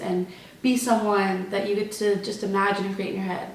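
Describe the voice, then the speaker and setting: A woman talks at a fairly quick pace and a medium pitch, in a monotone, flat intonation. Noticeable background noise sits behind her. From Texas. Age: 20s. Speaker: college student, theater performer. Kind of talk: casual Q&A talk to camera.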